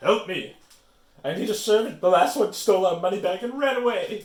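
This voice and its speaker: Bellowing in a put-on character voice, a man talks at a high pitch and a fairly quick pace. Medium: read story. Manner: roaring, brusque.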